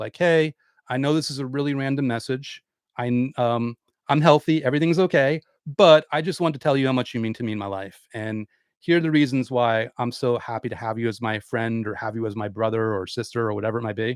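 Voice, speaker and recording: A man at medium pitch and a fairly quick pace with ordinary pitch variation, in a dry, close sound with no echo and a very clean recording with a silent background. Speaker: law of attraction author and YouTuber. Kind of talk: livestream Q&A talk. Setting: YouTube live stream. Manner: fast; animated.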